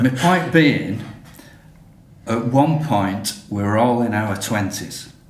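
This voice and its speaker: With long, frequent pauses, a man speaks at a very slow pace in a medium pitch and lively intonation, amid noticeable background noise and audible room echo. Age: 60s. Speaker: podcast co-host. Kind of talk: casual chat.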